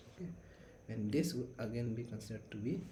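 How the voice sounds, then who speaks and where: A soft-spoken man talks at medium pitch in a dark, mellow tone, somewhat breathy, with audible room echo. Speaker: teaching assistant. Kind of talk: tutorial.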